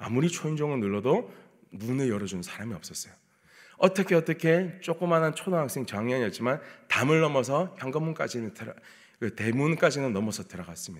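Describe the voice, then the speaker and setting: A man talks at a fairly quick pace, with very wide pitch swings and big swings in loudness. The background is quiet. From South Korea, Busan; South Korea. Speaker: pastor. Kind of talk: sermon. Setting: church. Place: church. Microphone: podium.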